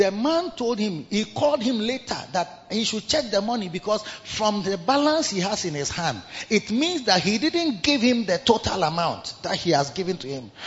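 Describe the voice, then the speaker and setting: Over noticeable background noise, a man speaks at a moderate pace in a high voice with very wide pitch swings. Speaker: bishop and pastor. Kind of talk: sermon. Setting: church service with congregation.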